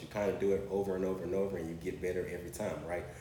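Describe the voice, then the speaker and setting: A man with an American accent, very deep and low-pitched, talking at a very fast pace amid audible room echo. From US South, Orangeburg, South Carolina. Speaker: entrepreneur, former college athlete. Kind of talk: casual interview, personal story.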